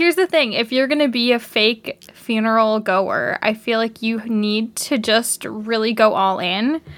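With a Canadian accent, a normal speaking voice moves at a fairly slow pace with ordinary pitch variation. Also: woman, fairly high pitch for a woman. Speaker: podcast co-host. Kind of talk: casual chat.

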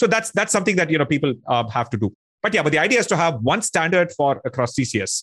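This man talks at a very fast pace with a fairly high pitch. His pitch swings very widely. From South India, Tamil-speaking. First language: Tamil. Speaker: tech industry executive. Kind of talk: interview. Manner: hesitant, with frequent fillers.

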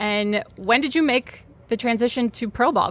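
A woman speaks in a bright, sharp, upbeat and enthusiastic tone with ordinary pitch variation. The recording is very clean, with a silent background. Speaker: team podcast host. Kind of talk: casual interview. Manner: upbeat, enthusiastic.

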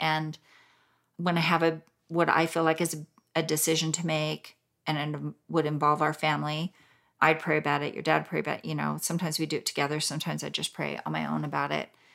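Her voice very deep and low with vocal fry, a woman talks at a fairly quick pace on a very clean recording with a silent background. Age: 50s. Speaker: food blogger. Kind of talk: casual chat.

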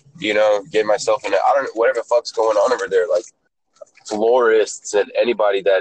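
In an American accent, a man talks at a fairly quick pace with very even loudness and a dry, close sound with no echo. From Atlanta, US South. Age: 20s. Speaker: rapper and music producer. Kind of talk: casual chat. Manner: animated.

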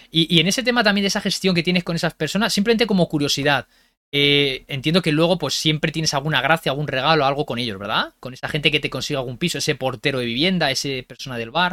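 Recorded very cleanly against a silent background with a dry, close sound and no echo, a man talks very fast in a fairly high, bright and sharp voice with lively intonation. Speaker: podcast host. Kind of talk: interview. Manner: enthusiastic.

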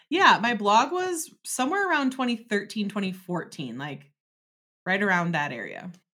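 A woman speaks at a moderate pace and medium pitch, her tone bright and sharp with vocal fry. Her pitch swings very widely on a very clean recording with a silent background. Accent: American. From Wisconsin, Door County. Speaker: business coach. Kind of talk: interview.

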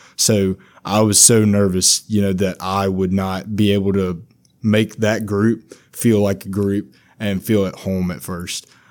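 In a Louisiana accent, a man with a fairly low pitch speaks at a fairly slow pace with monotone, flat intonation. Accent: Louisiana Southern. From Louisiana, Monroe area. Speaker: student orientation leader. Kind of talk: casual chat.

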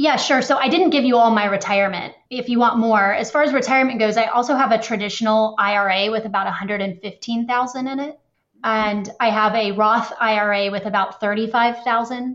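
Hardly any pauses break the flow as a woman with a normal speaking voice and a fairly high pitch speaks at a moderate pace with fairly even intonation. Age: 30s. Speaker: caller seeking financial advice. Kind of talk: call-in advice conversation. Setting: phone call.

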